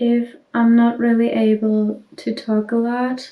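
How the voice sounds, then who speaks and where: A soft-spoken woman's voice, high in pitch, with a dark, mellow tone. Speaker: YouTuber sharing life with dissociative identity disorder. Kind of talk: casual vlog while doing makeup. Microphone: audio too quiet.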